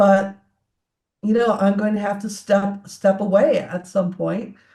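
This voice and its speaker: A woman speaks at a fairly slow pace, somewhat breathy, with a dark, mellow tone. Her medium pitch stays monotone and flat. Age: 60s. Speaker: tech entrepreneur and CEO. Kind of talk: interview conversation.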